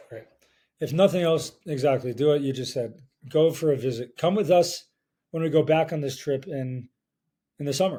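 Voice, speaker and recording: A somewhat breathy man with a fairly high pitch and a dark, mellow tone, at a moderate pace with ordinary pitch variation and long, frequent pauses. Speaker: podcast host. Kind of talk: casual chat. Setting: at home. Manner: halting.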